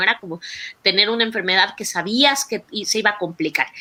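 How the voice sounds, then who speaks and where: A woman talks at a very fast pace and a fairly high pitch, with ordinary pitch variation. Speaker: doctor and patient advocate. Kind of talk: online talk presentation.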